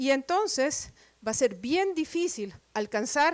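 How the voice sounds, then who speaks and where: A woman speaks with very wide pitch swings. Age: middle-aged. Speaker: professor. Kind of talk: lecture. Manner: deliberately slow.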